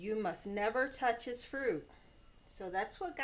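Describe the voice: The voice reads aloud plainly with ordinary pitch variation.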